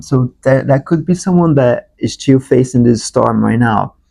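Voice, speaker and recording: In a dry, close recording with no echo, a man speaks at a moderate pace with a dark, mellow tone. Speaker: tarot reader. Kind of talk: tarot reading to camera. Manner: halting.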